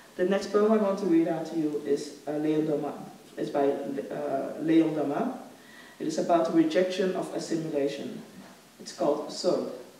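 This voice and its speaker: A woman's very deep, low voice with ordinary pitch variation and long, frequent pauses, in audible room echo. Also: moderate pace. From Congo, raised in the Netherlands. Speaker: philosopher and author. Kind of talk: lecture. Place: stage. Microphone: podium.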